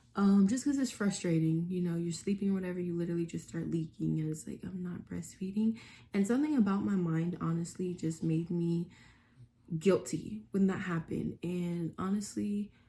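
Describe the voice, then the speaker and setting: A woman's somewhat breathy voice has a dark, mellow tone and fairly low pitch, with ordinary pitch variation at a moderate pace. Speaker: vlogger. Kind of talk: casual vlog talk. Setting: at home. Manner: speaking low; many fillers (um).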